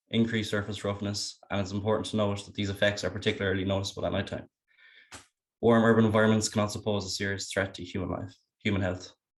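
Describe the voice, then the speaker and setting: Using monotone, flat intonation, a man with a western Irish accent talks at a very fast pace in a fairly low pitch. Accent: Irish (west of Ireland). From western Ireland, County Galway. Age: 20s. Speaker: university student. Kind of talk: student presentation.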